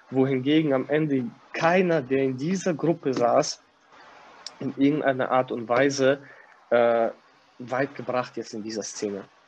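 Medium pitch from a man at a moderate pace, over noticeable background noise. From Kazakhstan. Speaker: gym manager. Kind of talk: casual interview.

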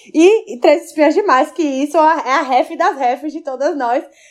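A woman's lively intonation carries through her fairly slow delivery. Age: 20s. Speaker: podcast co-host. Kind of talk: casual chat.

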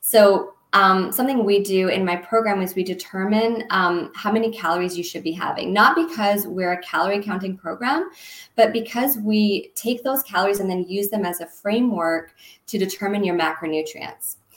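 An ordinary speaking voice from a woman, medium in pitch, with ordinary pitch variation and a moderate pace. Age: 30s. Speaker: health coach. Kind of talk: casual interview.

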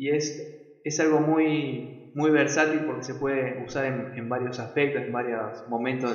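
A man with an Argentine accent speaks at a fairly slow pace with hardly any pauses and fairly even intonation, amid noticeable background noise and audible room echo. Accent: Rioplatense Argentine Spanish. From Argentina, Buenos Aires province. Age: 20s. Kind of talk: devotional talk. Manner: halting, with frequent repetitions.

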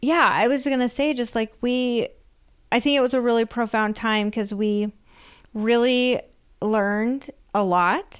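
A woman with an American accent speaks at a fairly slow pace in an animated tone, her loudness very even and her pitch varying in an ordinary way, on a very clean recording with a silent background. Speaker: podcast host. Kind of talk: casual chat. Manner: animated, laughing.

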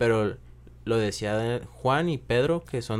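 A man with a Mexican accent speaks at a medium pitch. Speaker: podcast guest. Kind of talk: casual discussion.

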